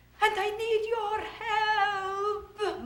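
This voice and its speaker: A woman uses a put-on character voice, squeaky and extremely high. Her intonation stays monotone and flat. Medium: short film.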